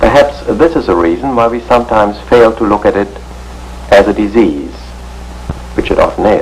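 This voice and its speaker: A man talks at a moderate pace, with long, frequent pauses. Noticeable background noise can be heard. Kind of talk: educational film narration.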